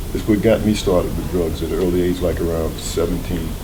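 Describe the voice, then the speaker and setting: Audible room echo and noticeable background noise come with this man's speech at a moderate pace. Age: 60s. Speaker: recovering addict in treatment. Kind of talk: documentary interview testimony.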